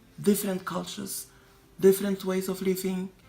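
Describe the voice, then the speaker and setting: A woman talks at a medium pitch while noticeable background noise fills the space. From Mozambique. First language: Portuguese. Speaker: diplomat. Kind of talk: personal testimony. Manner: halting.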